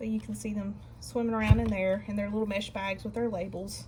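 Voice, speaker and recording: A woman speaks at a fairly quick pace with ordinary pitch variation. Background noise is noticeable. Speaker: gardening channel host. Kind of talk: casual tutorial. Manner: soft-spoken.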